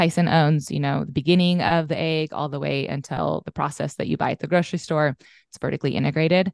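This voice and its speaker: The speaker has an American accent, vocal fry and fairly even intonation. The loudness swings widely. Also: woman. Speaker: cattle rancher. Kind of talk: interview.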